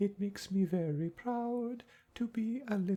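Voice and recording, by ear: A natural voice reads the text aloud, its pitch varying in an ordinary way.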